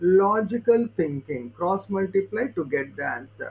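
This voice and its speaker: A high-pitched man's voice with lively intonation and an Indian accent. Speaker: aptitude trainer. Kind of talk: tutorial.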